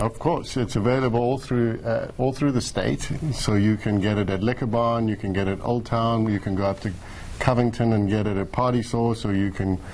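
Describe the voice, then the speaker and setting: A man with a South African accent speaks at medium pitch and a fairly quick pace, with very even loudness and fairly even intonation, over noticeable background noise. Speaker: distillery owner. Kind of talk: TV interview.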